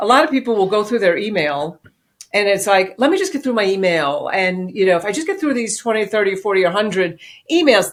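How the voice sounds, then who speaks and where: A woman's fairly high-pitched voice with lively intonation and a New York accent. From New York City. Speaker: business executive and author. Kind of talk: interview.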